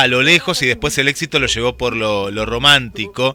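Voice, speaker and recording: Over background music, a man with an Argentine accent talks at a moderate pace, the sound dry and close with no echo. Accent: Argentine Spanish (Rioplatense). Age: 40s. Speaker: radio host. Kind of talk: radio interview. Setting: radio studio.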